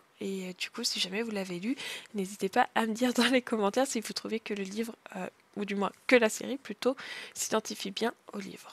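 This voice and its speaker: At a moderate pace, a woman talks in a fairly high voice. The recording is very clean with a silent background, and the sound is dry and close with no echo. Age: 20s. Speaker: podcaster. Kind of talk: casual podcast monologue. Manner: hesitant, many fillers.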